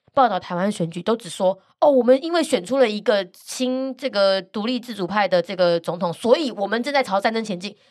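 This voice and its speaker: Animated in tone, with lively intonation at a fairly quick pace, the speaker comes through on a very clean recording with a silent background. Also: woman. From Taiwan, Gangshan (Kaohsiung). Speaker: international news podcaster and author. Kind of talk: interview. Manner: animated, laughs often.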